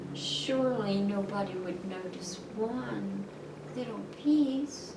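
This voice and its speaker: A woman puts on a character voice with a medium pitch. She goes at a very slow pace over loud background noise. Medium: read story. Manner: coaxing, flirtatious.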